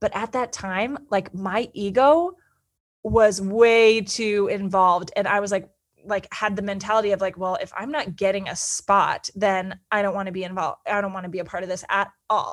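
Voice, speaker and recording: Speaking in an animated tone at a moderate pace, a woman with an American accent keeps a medium pitch on a very clean recording with a silent background. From Northern California. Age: 30s. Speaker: podcast host, PR and marketing expert. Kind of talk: solo personal storytelling.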